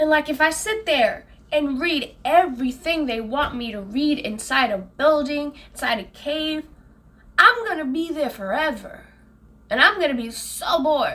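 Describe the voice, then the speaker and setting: A woman's raised, projected voice, high in pitch, with lively intonation at a moderate pace. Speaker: gaming commentator. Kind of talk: casual talk to camera.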